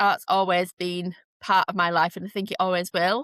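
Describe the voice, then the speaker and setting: A woman's bright, sharp voice with a Yorkshire accent at medium pitch and a moderate pace, in a dry, close sound with no echo. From northern England, Leeds, Yorkshire. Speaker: art therapist and artist. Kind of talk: podcast interview. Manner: hesitant, with fillers.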